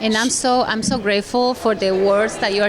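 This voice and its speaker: With a Spanish accent, a woman speaks at a fairly high pitch over noticeable background noise. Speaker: event emcee. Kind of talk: casual interview at event. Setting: live event reception. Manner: animated.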